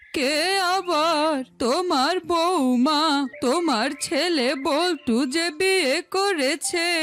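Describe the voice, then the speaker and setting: In a cartoonish character voice with an extremely high pitch, a woman speaks at a very slow pace with very even loudness and ordinary pitch variation over clear background noise. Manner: authoritative.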